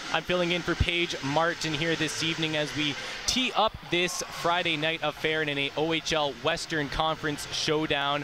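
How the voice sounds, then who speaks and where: Over noticeable background noise, a man speaks at a fairly high pitch with an upbeat tone. His moderate pace has hardly any pauses, and his loudness stays very even. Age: 20s. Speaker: sports broadcaster. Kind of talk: TV sports broadcast hosting.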